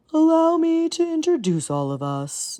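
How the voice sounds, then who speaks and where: The speaker uses a put-on character voice and keeps to a moderate pace. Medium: read story. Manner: yawning, sleepy.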